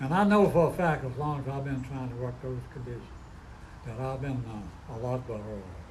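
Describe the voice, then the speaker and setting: A man's somewhat breathy voice at a medium pitch, fairly quick, with ordinary pitch variation and audible room echo. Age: 90s. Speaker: recovery meeting speaker. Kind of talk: testimony.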